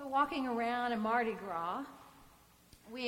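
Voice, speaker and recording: Audible room echo fills the recording. Within it, a woman talks at a high pitch. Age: 50s. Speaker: priest. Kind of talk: sermon.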